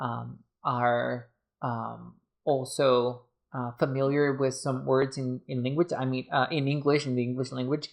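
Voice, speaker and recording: Speaking at a fairly slow pace, a man with a medium pitch and a non-native accent keeps a monotone, flat intonation. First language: not English. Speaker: book reviewer and tarot reader. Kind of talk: casual review video. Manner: halting, many fillers.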